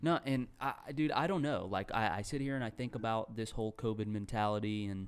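At a fairly quick pace, a man speaks in an ordinary speaking voice with medium pitch and ordinary pitch variation, on a very clean recording with a silent background. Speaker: podcast co-host. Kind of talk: casual banter, profane.

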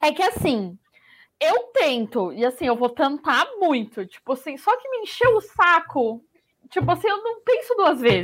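A high-pitched woman at a fairly slow pace, with very wide pitch swings. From Brazil. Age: 20s. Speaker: podcast co-host. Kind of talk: casual chat.

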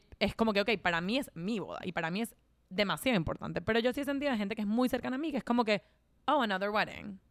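Over a silent background on a very clean recording, a woman talks at a very fast pace with lively intonation. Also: fairly high pitch for a woman. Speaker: podcast co-host. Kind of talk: casual chat.

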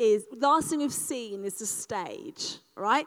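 In an animated tone, a woman speaks at a fairly slow pace. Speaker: speaker leading a live audience exercise. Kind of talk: live interactive talk.

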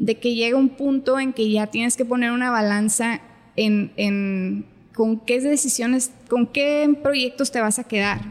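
The clip has a normal speaking voice with fairly even intonation. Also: woman. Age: 30s. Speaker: marketing agency owner and musician. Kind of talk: casual interview chat.

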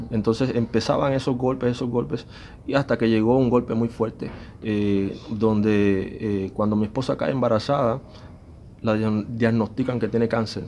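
Medium-pitched male voice, dark and mellow, fairly even in intonation, at a moderate pace. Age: 40s. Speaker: musician. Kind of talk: testimony.

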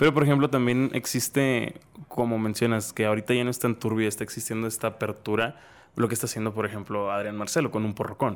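A man's medium-pitched voice at a very fast pace with fairly even intonation. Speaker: podcast host. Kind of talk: casual chat.

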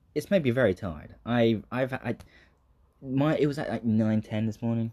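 A man's voice, dark and mellow in tone, moves at a moderate pace. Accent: southern English. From southeast England. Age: 20s. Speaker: aspiring comedian and acting student. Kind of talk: casual solo monologue. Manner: hesitant, many fillers.

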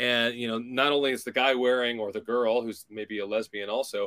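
At a moderate pace, a man with an American accent talks in an unremarkable speaking voice, with fairly even intonation, a medium pitch, and a dry, close sound with no echo. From California. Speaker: podcast host. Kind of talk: casual interview.

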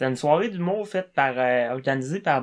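On a very clean recording with a silent background, a man with an ordinary speaking voice talks at medium pitch with ordinary pitch variation. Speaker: comedian. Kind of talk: casual chat.

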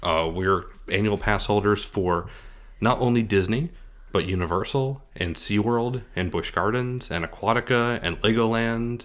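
With an American accent and an ordinary speaking voice, a man talks at a fairly slow pace, medium in pitch, with ordinary pitch variation. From Scranton, Pennsylvania. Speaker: podcast co-host and theme park vlogger. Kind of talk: casual chat.

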